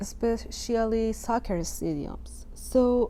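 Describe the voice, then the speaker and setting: A woman is speaking. There is audible echo from the room. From Iran, Tehran. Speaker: artist. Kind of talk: artist talk about own work. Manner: halting.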